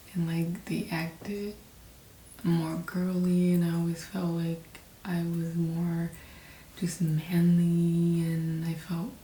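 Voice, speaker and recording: A woman with a fairly low pitch, flat monotone intonation, and a very slow pace, in audible room echo. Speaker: vlogger. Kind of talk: personal reflection monologue. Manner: hesitant, many fillers.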